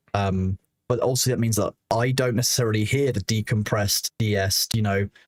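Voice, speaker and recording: In a dry, close sound with no echo, a man with a fairly low pitch talks somewhat breathily at a fairly quick pace, with fairly even intonation and very even loudness. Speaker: streamer and moderator. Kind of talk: casual chat. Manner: fast.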